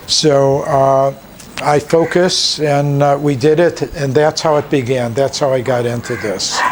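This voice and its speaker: A man speaks at a fairly slow pace, his pitch fairly high and his intonation fairly even. Noticeable background noise runs behind him. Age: 70s. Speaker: animal shelter director. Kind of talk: interview. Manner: halting.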